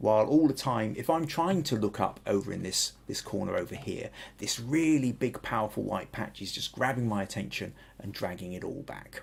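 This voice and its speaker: Here is a man with a southern English accent. His voice is somewhat breathy. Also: medium pitch for a man, lively intonation, moderate pace. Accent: southern English, fairly generic. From southern England and Wales. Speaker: photography podcast host. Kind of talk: photo critique livestream. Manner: hesitant, many restarts.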